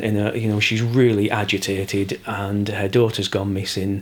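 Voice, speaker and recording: This voice carries a Yorkshire accent. Its intonation stays monotone and flat. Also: man. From Yorkshire, England. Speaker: crime novelist. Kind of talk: interview answer.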